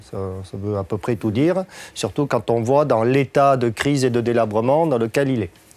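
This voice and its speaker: A man with a slight southwestern French accent speaks with ordinary pitch variation. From southwest France. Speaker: agricultural trainer. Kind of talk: lecture. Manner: hesitant, many filler sounds.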